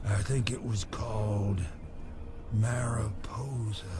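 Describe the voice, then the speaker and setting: Against clear background noise, a man uses a put-on character voice in a medium pitch. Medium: video game. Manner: rambling, halting.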